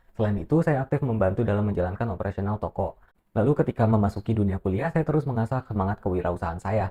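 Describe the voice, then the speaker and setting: A man with a fairly low pitch and a dark, mellow tone talks at a very fast pace with lively intonation, somewhat breathy, in a dry, close sound with no echo. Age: 20s. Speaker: university student. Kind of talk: self-introduction video, read script. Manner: formal.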